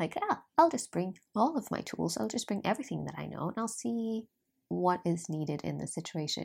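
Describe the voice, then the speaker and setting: A woman with a Norwegian accent speaks at a moderate pace on a very clean recording with a silent background. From Norway. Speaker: life coach and podcaster. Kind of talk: solo podcast monologue. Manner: chatty, frequent laughter.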